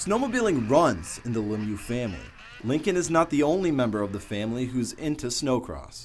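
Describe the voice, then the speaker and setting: At a fairly quick pace, a man speaks with lively intonation and vocal fry at a medium pitch. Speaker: TV news reporter and anchor. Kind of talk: recorded reporter voiceover for a feature package. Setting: broadcast news studio and field reports.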